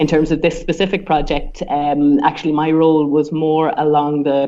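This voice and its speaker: There is noticeable background noise as a woman with an Irish accent speaks at a very deep, low pitch. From Ireland. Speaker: sports science researcher. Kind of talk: podcast interview. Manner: hesitant with fillers.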